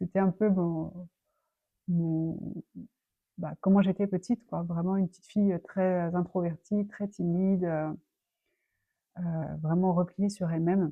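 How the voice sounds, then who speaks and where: Speaking very slowly with long, frequent pauses, a woman with a fairly low pitch keeps a monotone, flat intonation while her loudness swings widely. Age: 30s. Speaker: personal development vlogger. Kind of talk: personal life story. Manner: halting, many fillers.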